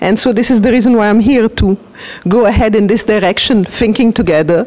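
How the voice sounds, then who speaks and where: A woman speaks with an Italian accent at a medium pitch and a fairly quick pace. Her intonation stays fairly even, and noticeable background noise runs underneath. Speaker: transactional analysis practitioner. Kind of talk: interview. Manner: hesitant.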